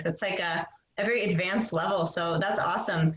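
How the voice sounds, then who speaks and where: Noticeable background noise behind a woman with an American accent. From United States. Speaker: English teacher. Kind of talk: casual interview.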